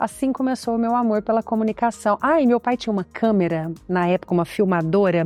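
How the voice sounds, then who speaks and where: Over background music, a woman with a fairly high voice talks fairly quickly with ordinary pitch variation, the sound dry and close with no echo. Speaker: journalist and TV presenter. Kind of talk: interview.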